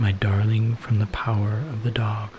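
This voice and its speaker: A man talks very slowly in a gentle, calm tone at a fairly low pitch. Noticeable background noise sits behind him. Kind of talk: calm scripture reading for relaxation and sleep. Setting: background waterfall sounds. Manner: soft, gentle, calm.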